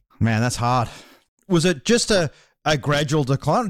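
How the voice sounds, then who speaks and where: On a very clean recording with a silent background, a man with an Australian accent speaks at a moderate pace in a fairly high voice with lively intonation. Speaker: podcast host. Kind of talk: casual interview. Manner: energetic.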